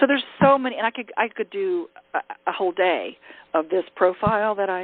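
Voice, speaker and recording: Lively intonation marks this woman's speech. She talks at a moderate pace with a medium pitch. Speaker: leadership coach. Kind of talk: teleconference workshop talk. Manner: direct.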